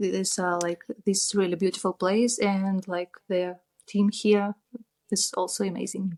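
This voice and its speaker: In a Russian accent, a woman speaks fairly slowly at medium pitch with monotone, flat intonation, in a dry, close sound with no echo. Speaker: tattoo artist. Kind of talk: interview.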